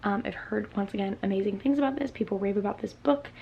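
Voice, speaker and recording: A woman is soft-spoken, her pitch varying in an ordinary way. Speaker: booktuber. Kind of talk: casual chat. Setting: home, at night.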